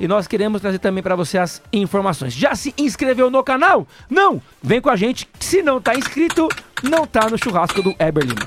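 Speaking over noticeable background noise, a man uses a high pitch with very wide pitch swings. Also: moderate pace. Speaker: radio co-host. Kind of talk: live radio show. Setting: radio studio.

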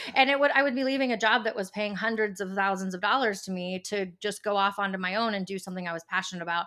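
A woman of medium pitch talks at a very fast pace with hardly any pauses, her tone bright and sharp and her pitch variation ordinary. The recording is very clean, with a silent background. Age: 40s. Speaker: nutrition business owner. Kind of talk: casual chat.

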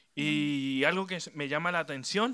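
A bright, sharp tone in a Chilean accent, with ordinary pitch variation, on a very clean recording with a silent background. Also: man. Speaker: youth preacher. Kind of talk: sermon. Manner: mixes Spanish and English.

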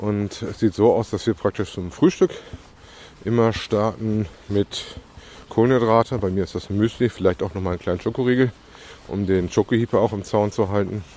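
A man with a fairly low pitch and ordinary pitch variation speaks at a moderate pace, leaving long, frequent pauses. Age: 40s. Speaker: podcaster documenting weight loss. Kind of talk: casual monologue. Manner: hesitant with filler sounds.

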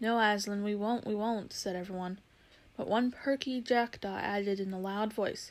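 A natural voice reading aloud

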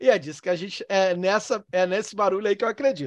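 A man talks at a fairly quick pace, recorded with a dry, close sound and no echo. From Northeast Brazil. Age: 40s. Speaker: theology lecturer. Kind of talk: online lecture. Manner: halting.

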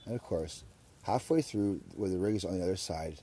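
Here a man speaks with a very deep, low pitch and a dark, mellow tone. His intonation is lively and his pace fairly quick. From Surrey, British Columbia, Canada. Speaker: podcast host. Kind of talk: casual chat. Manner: animated.

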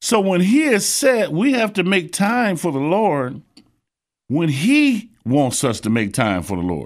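On a very clean recording with a silent background, a man with an American accent speaks at a fairly slow pace in a high pitch, with very wide pitch swings. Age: 60s. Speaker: preacher. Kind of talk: sermon.

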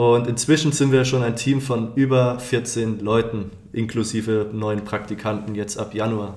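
A man's medium-pitched voice at a fairly slow pace with fairly even intonation and audible room echo. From Palatinate, Germany. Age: 20s. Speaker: student podcast co-host, business development. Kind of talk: casual chat.

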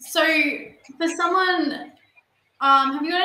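A woman speaks with an Australian accent in a raised, projected voice. Her pace is moderate and her pitch varies in an ordinary way. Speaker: podcast host. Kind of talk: interview. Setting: video call.

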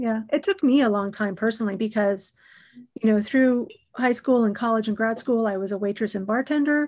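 A woman with a plain, everyday voice speaks fairly quickly in a fairly high pitch with ordinary pitch variation. The background is quiet. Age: 50s. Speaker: podcast host. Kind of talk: casual interview.

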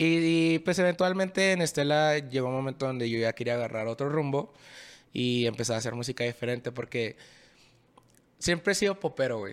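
With lively intonation and a fairly high pitch, a man talks in a normal speaking voice, recorded very cleanly against a silent background. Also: fairly quick pace. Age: 20s. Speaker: singer-songwriter. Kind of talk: casual chat.

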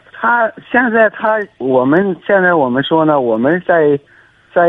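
A man with an ordinary speaking voice talks fairly slowly, his intonation lively. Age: 30s. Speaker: construction worker. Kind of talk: call-in advice conversation.

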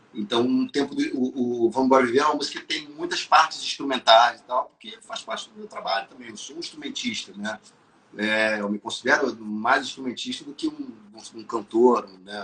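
A man at a moderate pace, with big swings in loudness over noticeable background noise. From Brazil, city-raised. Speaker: musician and songwriter. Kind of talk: casual interview chat.

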